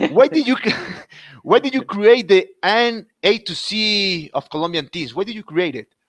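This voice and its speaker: A man speaks with a Spanish accent in a high voice, at a moderate pace and with lively intonation. The sound is dry and close, with no echo. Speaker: podcast host. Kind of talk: interview. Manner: scripted intro.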